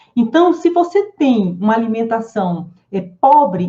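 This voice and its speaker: A woman speaks at fairly high pitch in a somewhat breathy voice with a dark, mellow tone. Her pace is fairly slow and her pitch swings very widely. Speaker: psychologist and wellness teacher. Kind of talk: live online class. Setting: live stream with chat.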